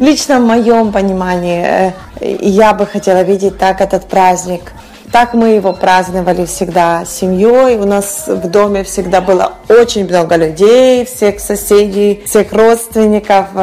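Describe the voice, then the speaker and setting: Over noticeable background noise, a woman speaks at a very slow pace with a medium pitch and fairly even intonation. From western Ukraine, village. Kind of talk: radio interview.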